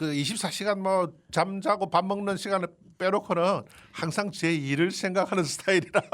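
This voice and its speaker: A man speaks at a high pitch. His pace is moderate and his intonation fairly even. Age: 70s. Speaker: graphic designer and painter. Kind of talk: radio interview. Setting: radio studio.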